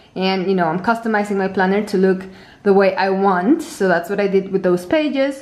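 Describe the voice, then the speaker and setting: With noticeable background noise behind her, a woman talks at a fairly quick pace with ordinary pitch variation. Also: medium pitch for a woman. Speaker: planner designer and tutorial creator. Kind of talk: product tutorial. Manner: fast.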